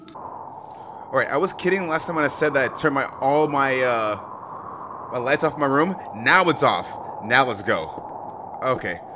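Against noticeable background noise, a man's speech moves at a fairly slow pace. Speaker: gaming streamer. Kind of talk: let's play commentary. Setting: home, playing in the dark. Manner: animated. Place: home room.

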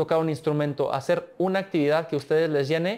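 Intonation stays fairly even as a man talks at a fairly quick pace. His pitch is fairly high. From Mexico, San Luis Potosí. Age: 20s. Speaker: olympic swimmer; interviewee. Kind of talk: interview. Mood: relaxed, warm. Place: studio. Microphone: lapel.

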